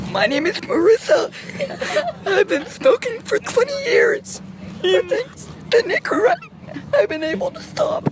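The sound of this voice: An extremely high-pitched, put-on character voice moves at a fairly slow pace with long, frequent pauses. Clear background noise runs underneath.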